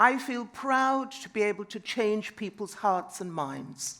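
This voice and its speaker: Her medium-pitched voice has a bright, sharp tone, and the woman speaks at a very slow pace. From Trinidad. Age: 70s. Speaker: conference speaker. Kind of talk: panel talk.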